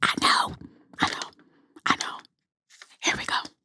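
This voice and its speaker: A woman is whispering. Her pace is fairly quick. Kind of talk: ASMR whisper video. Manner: whispered.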